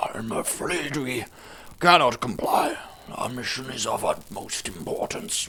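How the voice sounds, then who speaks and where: Raspy and at a medium pitch, a man puts on a character voice at a fairly slow pace. Light background noise can be heard. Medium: read story. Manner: measured, courteous.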